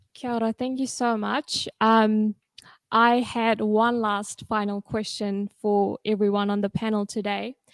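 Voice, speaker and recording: A woman's medium-pitched voice has monotone, flat intonation, with a dry, close sound with no echo in a very clean recording against a silent background. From Fiji. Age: 20s. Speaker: panel moderator and politics student. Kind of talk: panel discussion.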